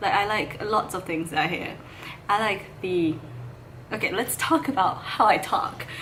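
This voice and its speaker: The room echo is audible, and there is noticeable background noise. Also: woman. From Malaysia. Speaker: vegan vlogger. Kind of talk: casual talk to camera while eating. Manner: mumbling, stumbles over words; slow.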